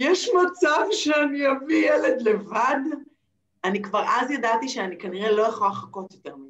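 A woman's high voice with very wide pitch swings, at a fairly slow pace. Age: 40s. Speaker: NLP trainer and therapist. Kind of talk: interview. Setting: video call.

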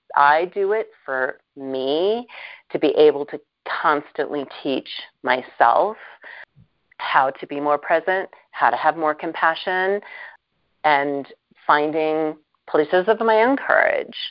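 Long, frequent pauses break up this very slow speech, delivered with lively intonation in an American accent. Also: woman, very deep, low pitch for a woman. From US Midwest, Milwaukee. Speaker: humanitarian and TV producer. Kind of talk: interview. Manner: many fillers and restarts.

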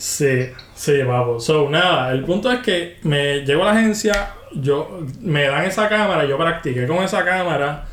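Over noticeable background noise and audible room echo, a man speaks at a fairly slow pace with very even loudness. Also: lively intonation. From Puerto Rico, rural Juncos/Canóvanas. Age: 30s. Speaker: photographer. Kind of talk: casual chat. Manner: animated.

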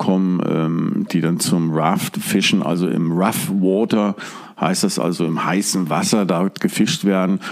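A man speaks at a moderate pace in a very deep, low voice, with noticeable background noise. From northern Germany (Hamburg, Stade). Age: 50s. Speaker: fly fishing angler. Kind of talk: interview.

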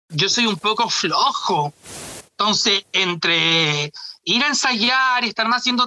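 A man uses a raised, projected voice at an extremely high pitch. He speaks with a Chilean accent. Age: 30s. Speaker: drag artist and comedian. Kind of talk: casual interview. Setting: video call.

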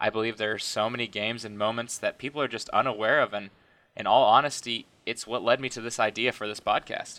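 A man with an American accent speaks very fast in a flat monotone at a medium pitch. His tone is bright and sharp, in a very clean recording with a silent background. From southeast Kansas. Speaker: student sports podcaster. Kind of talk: casual chat; scripted narration.

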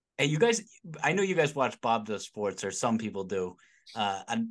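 Here a man speaks at a medium pitch. It is a plain, everyday voice. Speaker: podcast co-host. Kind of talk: casual chat.

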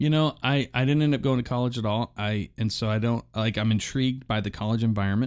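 In a very clean recording with a silent background, a man races along at a very fast pace, medium in pitch, with fairly even intonation and very even loudness. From Oklahoma, moved to Pittsburgh in junior high. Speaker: podcast host and sound technician. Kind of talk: casual interview chat. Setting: studio. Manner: hesitant, many false starts.

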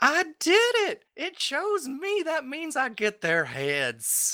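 A man's put-on character voice, extremely high in pitch, at a very slow pace. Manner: gleeful.

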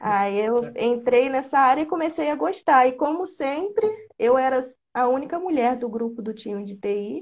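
The intonation is lively. Speech moves at a moderate pace. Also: woman, high pitch for a woman. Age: 20s. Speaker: programming content creator. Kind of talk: casual interview.

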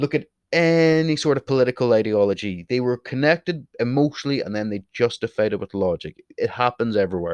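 A passionate tone carries a Northern Irish accent, delivered at a fairly quick pace with hardly any pauses and lively intonation. The sound is dry and close with no echo, over a quiet background. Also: man, medium pitch for a man. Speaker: podcast host. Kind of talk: solo podcast monologue. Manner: opinionated, passionate.

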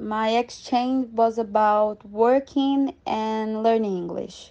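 A woman with a Portuguese accent speaks at a fairly high pitch with fairly even intonation and a dark, mellow tone against a quiet background. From Brazil. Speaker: former exchange student. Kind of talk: casual interview.

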